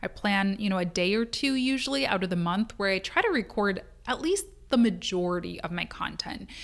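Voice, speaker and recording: At a moderate pace, a woman with an unremarkable speaking voice and fairly high pitch talks with lively intonation. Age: 30s. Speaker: podcast host and business coach for freelancers. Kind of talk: solo podcast monologue with tips. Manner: casual, conversational.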